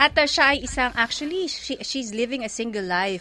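A woman with a normal speaking voice keeps a moderate pace, her intonation lively. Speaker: radio host. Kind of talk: radio interview in Taglish. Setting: studio.

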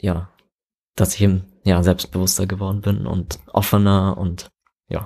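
A man's very deep, low pitch and dark, mellow tone at a fairly slow pace, with fairly even intonation and long, frequent pauses. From Immenstadt, Allgäu, Bavaria. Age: 20s. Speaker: interview guest. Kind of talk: interview.

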